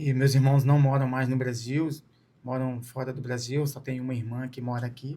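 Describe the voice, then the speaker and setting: A man's somewhat breathy voice, dark and mellow in tone, with fairly even intonation. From Brazil, Espírito Santo (Vitória/Serra). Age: 40s. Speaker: ultramarathon runner. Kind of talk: interview.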